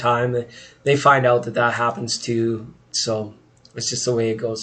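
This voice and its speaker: Noticeable background noise runs under a man speaking at a medium pitch and a moderate pace. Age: 40s. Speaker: tarot reader streamer. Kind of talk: casual live stream chat. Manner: casual, chatty.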